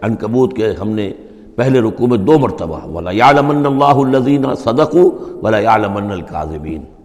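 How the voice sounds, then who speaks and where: Amid noticeable background noise, a man speaks at a medium pitch. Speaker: Islamic scholar. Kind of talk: Quran exegesis lecture.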